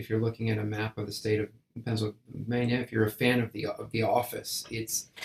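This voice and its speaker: This is a man's voice. It sounds somewhat breathy. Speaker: composer and conductor. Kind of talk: interview. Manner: halting, repeated syllables.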